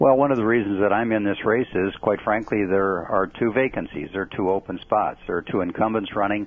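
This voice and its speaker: A man speaks in an unremarkable speaking voice at a fairly low pitch and a fairly quick pace. His intonation is fairly even, with hardly any pauses. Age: 60s. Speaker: political candidate. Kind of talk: radio interview. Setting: phone call.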